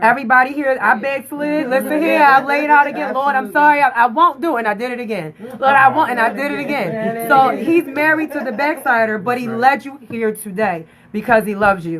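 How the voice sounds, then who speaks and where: Loud and animated, a woman talks at a fairly quick pace with hardly any pauses, a high pitch and lively intonation over noticeable background noise. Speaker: faith-based talk show host. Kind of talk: livestream interview with altar call. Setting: live social media stream. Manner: animated, preachy.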